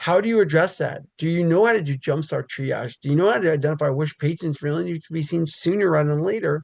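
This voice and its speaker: Very fast delivery in an American accent over a quiet background. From New York City. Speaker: pediatric physician, regional medical officer. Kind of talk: webinar presentation. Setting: online webinar. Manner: loud; conversational, many filler words.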